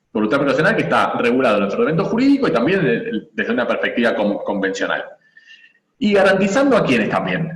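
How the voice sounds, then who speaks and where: Amid audible room echo, a man talks at a very fast pace in a high pitch, with very wide pitch swings and very even loudness. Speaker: lawyer and family law lecturer. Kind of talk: lecture.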